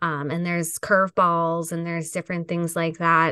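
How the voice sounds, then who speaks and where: A woman talks at a moderate pace with an unremarkable speaking voice. The background is quiet. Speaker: podcast host. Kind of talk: interview.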